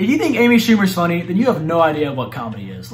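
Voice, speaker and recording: A man talks at a fairly quick pace. Faint music plays in the background. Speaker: gaming youtuber. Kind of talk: commentary. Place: home room.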